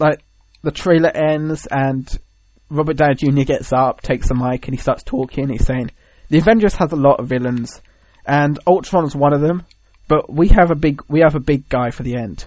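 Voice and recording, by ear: Fairly high in pitch, a man talks at a moderate pace with a slightly mellow tone. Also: ordinary pitch variation.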